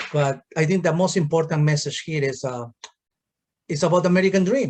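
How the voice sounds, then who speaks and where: A man with a Peruvian accent, fairly quick, with ordinary pitch variation. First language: Spanish. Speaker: township supervisor, politician. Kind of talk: political discussion.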